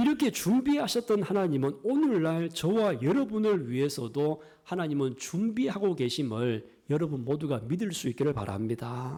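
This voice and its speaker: In a strong Gyeongsang accent, this speaker talks at a moderate pace with hardly any pauses. The voice has very wide pitch swings and very even loudness. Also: man, fairly high pitch for a man. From Gyeongsang region, South Korea. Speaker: pastor. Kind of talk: sermon.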